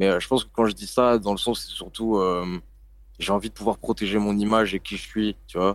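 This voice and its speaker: Speaking at a moderate pace, a man with a fairly low pitch delivers a monotone, flat intonation in a very clean recording with a silent background. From northern France, Lille. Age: 20s. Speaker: rapper. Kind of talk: interview. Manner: casual.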